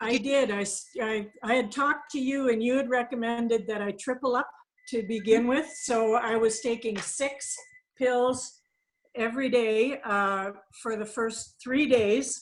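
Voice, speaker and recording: A woman with a high pitch speaks at a fairly slow pace, her intonation fairly even. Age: 60s. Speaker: customer giving testimonial. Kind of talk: testimony.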